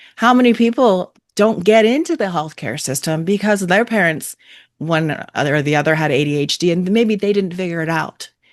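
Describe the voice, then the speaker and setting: In an unremarkable speaking voice, someone talks at a moderate pace with lively intonation against a quiet background. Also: woman, medium pitch for a woman. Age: 40s. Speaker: podcast host. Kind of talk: interview.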